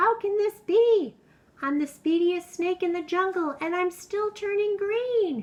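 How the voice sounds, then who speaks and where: In a put-on character voice, a woman speaks at a fairly slow pace with an extremely high, squeaky pitch. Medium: read story. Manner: eager, energetic.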